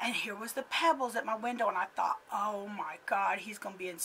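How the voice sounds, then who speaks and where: Putting on a raspy character voice, a woman speaks at a fairly quick pace in a medium pitch over light background noise. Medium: solo performance. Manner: chatty, conversational, laughs often.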